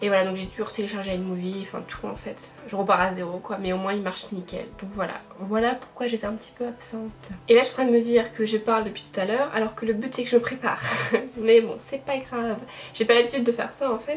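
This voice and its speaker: Music can be heard in the background. A woman talks at a fairly high pitch with fairly even intonation. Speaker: beauty vlogger. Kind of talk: casual chat. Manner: fast; hesitant, many fillers.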